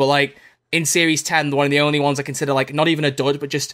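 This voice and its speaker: Very fast, fairly high-pitched male speech with a slight Scouse accent, a bright, sharp tone and monotone, flat intonation, on a very clean recording with a silent background. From Liverpool. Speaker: podcast co-host and YouTuber. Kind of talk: casual banter chat. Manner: joking, playful.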